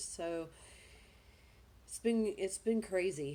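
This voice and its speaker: The voice carries a Southern US accent and a dark, mellow tone. Intonation stays fairly even. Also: woman. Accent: Southern US, noticeable. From US South, Georgia. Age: 30s. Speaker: vlogger. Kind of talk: personal vlog, life story. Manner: hesitant, many fillers.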